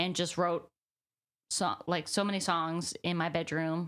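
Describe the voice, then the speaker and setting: On a very clean recording with a silent background, a woman speaks with an American accent. Her fairly low voice moves at a moderate pace with monotone, flat intonation. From US South, Birmingham, Alabama. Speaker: singer-songwriter. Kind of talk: interview. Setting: on camera interview. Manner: casual, many fillers.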